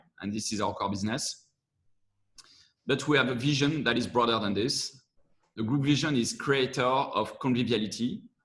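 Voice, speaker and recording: A man with a French accent speaks at a moderate pace and medium pitch, with ordinary pitch variation and long, frequent pauses. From France. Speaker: corporate venture managing director. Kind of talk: webinar presentation.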